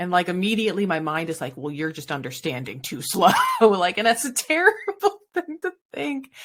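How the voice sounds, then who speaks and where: With very wide pitch swings and big swings in loudness, a woman of medium pitch speaks. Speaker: podcast co-host and conference speaker. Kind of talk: casual chat. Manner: fast.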